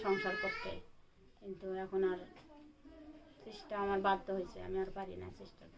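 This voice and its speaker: A woman's medium-pitched voice with big swings in loudness over noticeable background noise. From Bangladesh, Rangpur. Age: 20s. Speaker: domestic worker, divorced mother. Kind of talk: interview. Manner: soft-spoken; halting.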